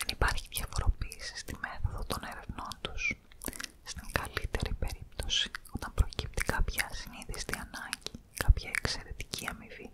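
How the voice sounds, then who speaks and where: A woman whispers at a moderate pace. She is soft-spoken throughout. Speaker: ASMR reader. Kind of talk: soft-spoken reading of a story. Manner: soft ASMR whisper reading a story. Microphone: studio mic.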